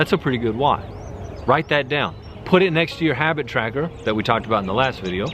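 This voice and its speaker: Over noticeable background noise, a man talks very fast in an energetic tone at a medium pitch. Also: lively intonation. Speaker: self-improvement YouTuber. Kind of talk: motivational talk to camera.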